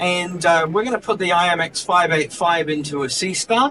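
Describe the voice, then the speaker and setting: With noticeable background noise, a man speaks in a New Zealand accent at a high pitch. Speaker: technical support engineer and astro imager. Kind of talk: product presentation. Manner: hesitant, many fillers.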